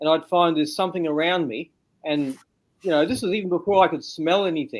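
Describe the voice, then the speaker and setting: A man with an Australian accent, high-pitched, at a moderate pace with ordinary pitch variation. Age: 60s. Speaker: interview guest, bigfoot witness. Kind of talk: interview testimony.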